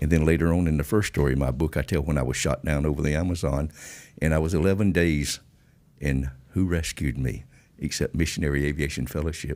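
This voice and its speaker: A man with a Georgia accent talks at a very fast pace in a very deep, low voice with vocal fry, very even loudness and fairly even intonation, on a very clean recording with a silent background. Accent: Georgia Southern. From Georgia, US South. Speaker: former drug smuggler and pilot. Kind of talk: interview storytelling. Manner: classy, refined speech.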